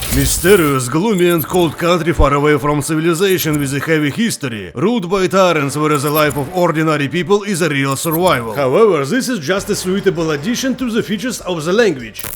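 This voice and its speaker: Noticeable background noise sits under a man talking at a very fast pace with hardly any pauses. His fairly high voice has lively intonation. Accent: Russian. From Russia. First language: Russian. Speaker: YouTuber and actor. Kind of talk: tutorial.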